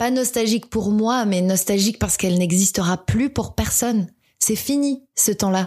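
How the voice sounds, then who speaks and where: The voice is somewhat breathy, with fairly even intonation and a moderate pace, on a very clean recording with a silent background. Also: woman. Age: 30s. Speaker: podcaster. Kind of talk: monologue.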